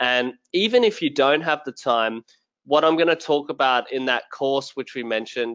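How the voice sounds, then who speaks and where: With an Australian accent, a man talks at a moderate pace in a fairly high voice with ordinary pitch variation. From rural Australia. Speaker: sales and tech professional, LinkedIn content creator. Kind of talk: webinar interview.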